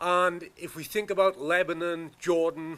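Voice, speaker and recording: A man speaks with a Welsh accent. His voice is high in pitch. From Wales. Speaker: professor. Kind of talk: conference talk. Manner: fast.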